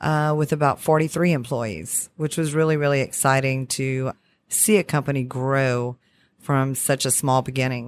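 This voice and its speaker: In a very clean recording with a silent background, a woman with a Southern Louisiana accent talks at a moderate pace, her pitch very deep and low with ordinary variation. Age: 40s. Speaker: oil and gas sales manager. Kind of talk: interview. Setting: at a trade conference.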